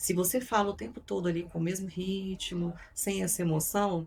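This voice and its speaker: This woman speaks at a moderate pace. Her voice is fairly low in pitch and somewhat breathy. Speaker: psychoanalyst and communication coach. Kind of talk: podcast interview. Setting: studio.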